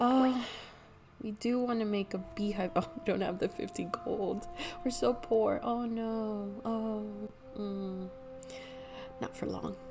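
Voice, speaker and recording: Over background music, a woman talks at a very slow pace with long, frequent pauses. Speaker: video game streamer. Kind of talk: casual gameplay commentary. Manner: hesitant, many fillers.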